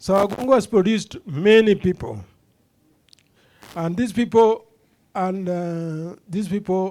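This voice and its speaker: With a dark, mellow tone and a high pitch, a man talks at a fairly slow pace with ordinary pitch variation and long, frequent pauses. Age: 70s. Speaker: school alumnus. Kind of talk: speech. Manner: halting.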